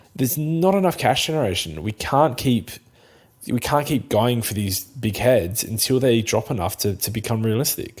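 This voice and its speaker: With a South Australian accent, a man speaks at a moderate pace, his medium pitch carrying lively intonation. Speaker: fantasy football podcast co-host. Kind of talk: casual chat.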